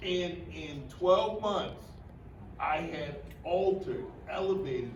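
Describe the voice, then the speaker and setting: Over noticeable background noise, a man speaks with lively intonation. There is audible room echo. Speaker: motivational speaker. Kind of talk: workshop talk. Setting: stage with audience. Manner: animated.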